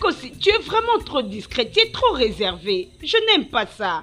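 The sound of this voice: Using a put-on character voice, a woman speaks at a moderate pace with a fairly high pitch, a fairly bright tone and very wide pitch swings.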